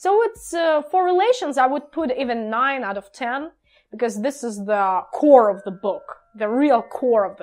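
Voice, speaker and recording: Music plays behind a woman speaking with a non-native accent. Her pitch is high, with very wide swings. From Ukraine. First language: Russian. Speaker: book vlogger. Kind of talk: casual review vlog. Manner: halting, many fillers.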